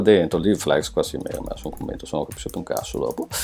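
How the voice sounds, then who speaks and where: A man is speaking. Music plays in the background. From Veneto, Treviso area, Italy. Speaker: web design teacher. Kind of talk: tutorial. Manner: casual.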